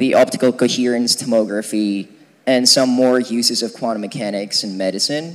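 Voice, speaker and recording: At a fairly quick pace, a man with a normal speaking voice talks at a medium pitch with ordinary pitch variation. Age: 20s. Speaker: physics student lecturer. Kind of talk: lecture. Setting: lecture hall with audience, using a mic. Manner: casual, many fillers.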